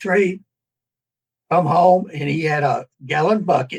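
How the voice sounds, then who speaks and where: A man with a Southern US accent in a dry, close sound with no echo. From US South, Tennessee. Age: 80s+. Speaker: author. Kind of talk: interview. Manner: halting.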